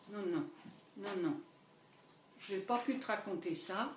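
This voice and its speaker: The pitch swings very widely from high to low. Noticeable background noise sits behind the voice. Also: woman. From Paris area and Le Mans. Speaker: host's mother. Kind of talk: life story interview.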